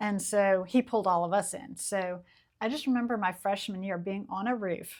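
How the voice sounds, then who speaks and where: A normal speaking voice with an American accent at a moderate pace, ordinary pitch variation, and a very clean recording over a silent background. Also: woman, medium pitch for a woman. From US South, Charleston, South Carolina. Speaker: historic preservation architect. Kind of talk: casual interview chat.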